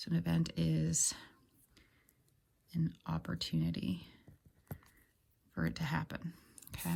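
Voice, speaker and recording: A woman talks soft-spoken and fairly slowly. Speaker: math teacher. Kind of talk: lecture.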